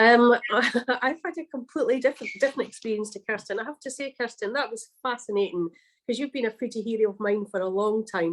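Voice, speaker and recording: Speaking very fast with hardly any pauses, a woman with a Scottish accent uses a fairly high pitch and ordinary pitch variation. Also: quiet background. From Scotland. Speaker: baker and cookbook author. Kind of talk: livestream interview. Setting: livestream.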